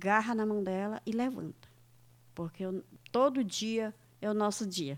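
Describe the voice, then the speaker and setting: A woman speaks at a fairly slow pace in a fairly high pitch. She leaves long, frequent pauses. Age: 60s. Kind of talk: radio interview.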